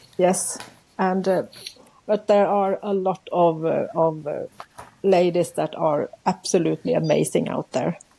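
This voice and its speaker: A woman with a Swedish accent at a fairly slow pace, over noticeable background noise. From central Sweden. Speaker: journaling artist, YouTuber. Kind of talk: casual interview. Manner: halting, searching for words.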